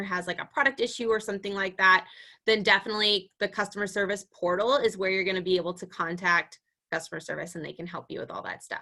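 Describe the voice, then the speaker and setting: A woman speaks very fast at a medium pitch. Her tone is bright and sharp, with ordinary pitch variation. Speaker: direct sales team leader. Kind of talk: live training video call.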